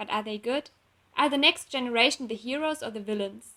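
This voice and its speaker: This woman has a fairly high pitch and a bright, sharp tone. She speaks with a non-native accent. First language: not English. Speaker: fanfiction author and illustrator. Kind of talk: reading aloud. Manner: halting.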